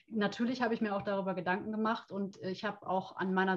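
A woman's normal speaking voice at a medium pitch, with fairly even intonation. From Rhineland, Germany (Brühl near Cologne). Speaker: coach. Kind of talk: interview.

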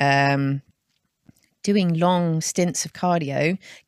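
A woman speaks in a plain, everyday voice, pitched fairly low, with ordinary pitch variation. The recording is very clean, with a silent background. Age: 40s. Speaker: weightlifting coach. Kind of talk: casual interview.

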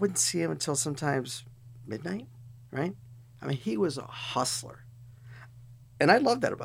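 This man speaks at a moderate pace and medium pitch, with vocal fry and very wide pitch swings. His loudness swings a lot, and he leaves long, frequent pauses. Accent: American. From Chicago area, US. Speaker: data center company CEO. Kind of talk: casual interview. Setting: studio.

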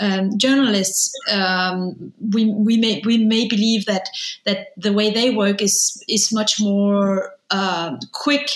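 Speaking in a Danish accent, a woman keeps her medium-pitched voice fairly even in intonation. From Denmark. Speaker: film director and interviewer. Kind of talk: interview.

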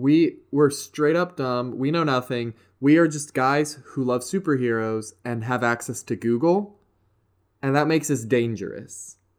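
On a very clean recording with a silent background, a man with an American accent speaks fairly slowly in a normal speaking voice, medium in pitch with ordinary pitch variation. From US South, West Virginia. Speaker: podcast host. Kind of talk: casual chat.

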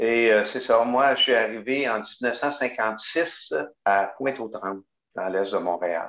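A man's medium-pitched voice at a very slow pace. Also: ordinary pitch variation. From Quebec, Bas-Saint-Laurent. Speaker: parish pastoral worker and deacon. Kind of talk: interview.

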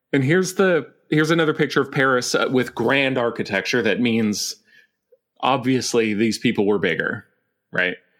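This man has an unremarkable speaking voice at a medium pitch. His loudness stays very even and his pace is moderate. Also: lively intonation, very clean recording, silent background. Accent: American. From Montana (Billings). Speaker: podcast host, guest. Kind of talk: casual chat.

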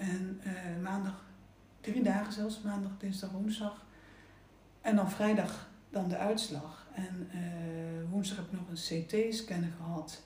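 A woman's very slow, fairly even-toned speech, with audible room echo and noticeable background noise. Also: medium pitch for a woman. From Netherlands, Gelderland (Oosterbeek). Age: 50s. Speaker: terminally ill cancer patient. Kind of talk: casual chat. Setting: at a table in her home. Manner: halting.

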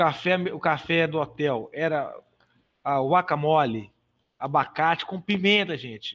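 Against a quiet background, a man with an unremarkable speaking voice talks at a fairly slow pace in a fairly high pitch with ordinary pitch variation. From Brazil, Belo Horizonte (Minas Gerais). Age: 40s. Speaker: physical education teacher and American football club executive. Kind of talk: casual podcast interview, storytelling.

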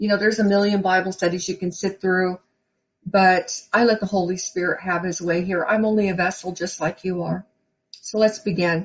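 A woman's somewhat breathy, medium-pitched voice runs at a moderate pace in a flat monotone. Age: 50s. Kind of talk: sermon. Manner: conversational.

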